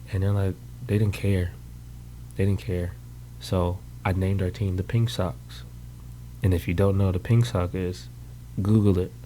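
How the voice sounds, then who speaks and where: A man with an American accent speaks in a very deep, low voice that is dark, mellow and somewhat breathy. He leaves long, frequent pauses. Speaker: podcast host and military veteran. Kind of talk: casual monologue. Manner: fast; rambling, halting with fillers.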